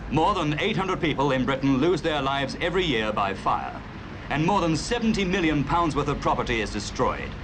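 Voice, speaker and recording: A man with a fairly high pitch talks at a fairly quick pace with lively intonation and very even loudness. Noticeable background noise can be heard. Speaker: documentary narrator. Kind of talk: cinema documentary narration.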